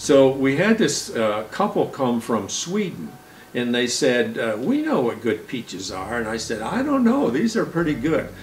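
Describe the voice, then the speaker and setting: Speaking at a moderate pace, a man lets his pitch swing very widely. Audible room echo and noticeable background noise fill the recording. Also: medium pitch for a man. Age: 70s. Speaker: farmer. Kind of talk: casual interview talk.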